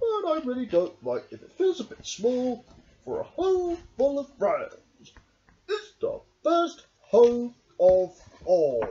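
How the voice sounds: A man's put-on character voice at extremely high pitch, fairly slow pace, long and frequent pauses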